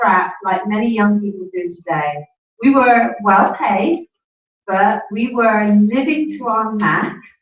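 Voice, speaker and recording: A woman with an English accent, medium pitch and ordinary pitch variation, with audible room echo. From England. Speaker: network marketing speaker. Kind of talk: conference talk.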